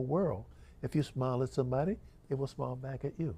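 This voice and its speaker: A somewhat breathy male voice of medium pitch with a dark, mellow tone. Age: 80s+. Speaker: author, former marine. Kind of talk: book talk.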